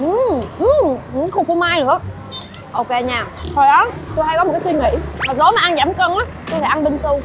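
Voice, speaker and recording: A woman is speaking with crowd noise in the background. The sound is dry, with no echo. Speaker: food vlogger. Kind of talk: casual vlog chat. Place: street. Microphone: lapel.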